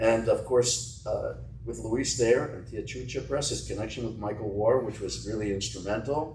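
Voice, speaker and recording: A man speaks at a moderate pace with an American accent. Audible room echo surrounds his voice. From US, New Jersey. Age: 80s+. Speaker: author and literary historian. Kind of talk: interview conversation.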